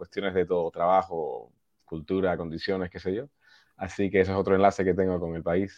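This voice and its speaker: A man with a very deep, low pitch talks at a fairly quick pace. His intonation is monotone and flat, with big swings in loudness. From US, Boston area, Peruvian parents. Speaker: touring musician. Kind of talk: casual interview.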